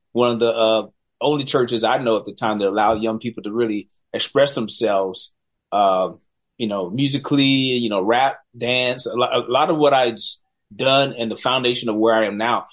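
This man has a normal speaking voice with an American accent and a medium pitch. He talks at a moderate pace with ordinary pitch variation. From US South, Charlotte, North Carolina. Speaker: film director. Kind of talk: interview.

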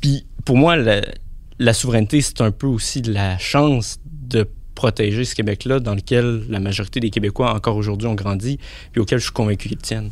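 With ordinary pitch variation, a man at a medium pitch talks at a moderate pace. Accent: Quebec. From Quebec City suburbs, Quebec. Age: 20s. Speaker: philosophy and politics student. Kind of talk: panel discussion.

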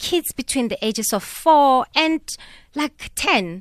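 A woman speaks at a high pitch and a fairly slow pace, with lively intonation. The recording is very clean with a silent background and a dry, close sound with no echo. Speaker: children's book author. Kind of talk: radio interview. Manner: teacher-like.

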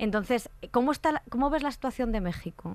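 Recorded very cleanly against a silent background, a woman with a Spanish accent talks at a moderate pace with ordinary pitch variation. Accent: Peninsular Spanish. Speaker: podcast host. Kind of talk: casual chat.

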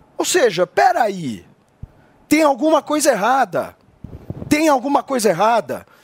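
An animated, fairly slow voice, dry and close with no echo, over noticeable background noise. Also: man. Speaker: political commentator. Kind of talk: political commentary.

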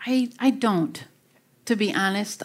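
This is a very clean recording, silent background. A woman speaks in a Wisconsin accent. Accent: Wisconsin Midwestern. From Wisconsin, US Midwest. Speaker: university researcher and author. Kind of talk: Q&A talk with interviewer. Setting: stage with live audience.

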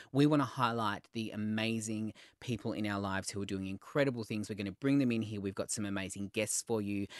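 With an Australian accent, a man with a fairly low pitch talks at a very fast pace with hardly any pauses and fairly even intonation, in a dry, close sound with no echo and a quiet background. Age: 30s. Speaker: podcast host, red carpet reporter and TV host. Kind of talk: casual chat.

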